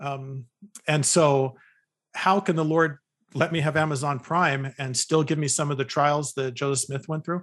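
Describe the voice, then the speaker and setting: A man with an unremarkable speaking voice, fairly high-pitched for a man, talks at a moderate pace with fairly even intonation against a quiet background. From California. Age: 50s. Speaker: psychologist and author. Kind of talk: interview conversation.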